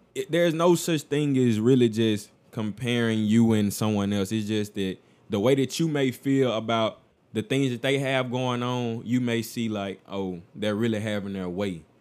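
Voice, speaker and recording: A man with an ordinary speaking voice keeps a moderate speed and medium pitch, varying it in an ordinary way, on a very clean recording with a silent background. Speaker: podcast co-host. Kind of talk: casual chat.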